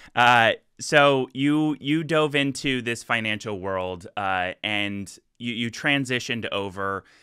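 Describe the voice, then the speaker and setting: A man is speaking. He has a slight Canadian accent. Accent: slight Canadian 'eh'. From US. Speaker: interviewer, company host. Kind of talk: interview. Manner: halting, many fillers.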